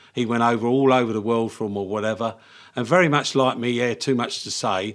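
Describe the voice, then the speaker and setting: A man with a southern English accent, medium pitch, ordinary pitch variation and a fairly quick pace. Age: 70s. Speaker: engineering business owner. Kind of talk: podcast interview.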